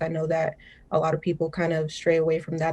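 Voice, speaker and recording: A woman speaks at a fairly low pitch in a dark, mellow tone. Her voice is somewhat breathy. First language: Spanish. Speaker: journalism student. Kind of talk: panel discussion.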